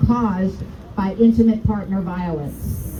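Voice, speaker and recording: Speaking with an American accent at a moderate pace, a woman shows ordinary pitch variation, with noticeable background noise and audible room echo. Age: 60s. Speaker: rally speaker. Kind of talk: testimony.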